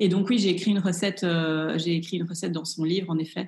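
Somewhat breathy and fairly low-pitched, a woman speaks with fairly even intonation. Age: 30s. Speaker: chef and cooking instructor. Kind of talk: interview.

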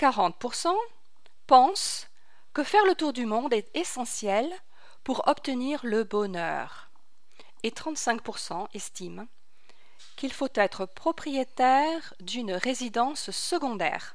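A woman's high voice at a very slow pace, with very wide pitch swings and long, frequent pauses. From France, Paris. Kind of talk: religious radio teaching. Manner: formal.

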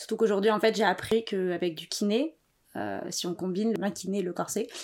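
A woman with an ordinary speaking voice, moderate pace and ordinary pitch variation, on a very clean recording with a silent background. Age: 20s. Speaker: podcast guest, freelancer. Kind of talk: personal testimony interview.

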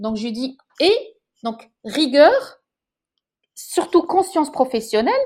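The speaker talks at a very slow pace, with long, frequent pauses. Their pitch swings very widely. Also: woman, high pitch for a woman. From Morocco, Casablanca. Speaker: chef and TV presenter. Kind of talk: interview.

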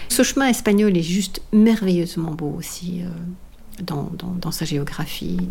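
Noticeable background noise and audible room echo surround a woman speaking at a fairly slow pace. Her pitch is fairly low, with ordinary variation. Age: 60s. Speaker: long-distance walker and author. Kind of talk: personal testimony. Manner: halting, many hesitations and repetitions.

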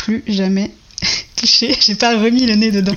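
In a plain, everyday voice, a woman talks at a moderate pace with ordinary pitch variation. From Brittany, France. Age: 30s. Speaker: web developer. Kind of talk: interview.

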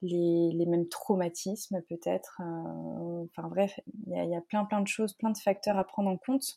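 Captured with a dry, close sound with no echo, a woman talks at a fairly slow pace. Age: 30s. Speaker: naturopath and coach. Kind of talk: casual interview.

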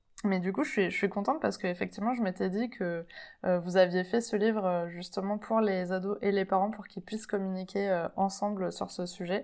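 Speaking at a moderate pace and medium pitch, a woman keeps her intonation fairly even in a very clean recording with a silent background. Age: 30s. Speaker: podcast host. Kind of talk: interview. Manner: halting.

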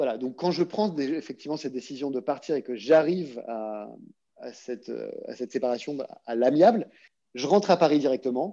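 A man with a fairly high pitch and a dark, mellow tone speaks at a moderate pace, his intonation lively. His loudness swings widely, and he takes long, frequent pauses. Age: 40s. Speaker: actor, former investment banker. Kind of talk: casual interview conversation. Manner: halting, frequent word repetitions.

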